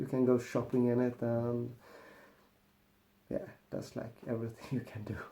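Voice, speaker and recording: A man with a Swedish accent talks at a fairly slow pace in a dark, mellow tone. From Sweden. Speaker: car mechanic youtuber. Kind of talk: casual vlog monologue.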